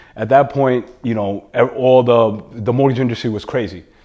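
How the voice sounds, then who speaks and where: A man with a New York accent talks at a moderate pace with fairly even intonation. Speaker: entrepreneur and real estate investor. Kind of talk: podcast interview. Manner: halting, many fillers and repetitions.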